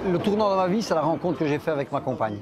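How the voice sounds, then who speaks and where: Crowd noise fills the background as a man speaks with ordinary pitch variation. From Charleroi, Belgium (Spanish immigrant family). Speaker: interviewee, son of immigrants. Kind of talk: documentary interview. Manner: halting, many hesitations.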